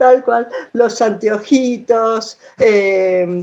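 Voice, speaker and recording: Here a woman talks at medium pitch. Her pitch varies in an ordinary way. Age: 60s. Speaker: audience participant. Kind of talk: casual chat. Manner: halting.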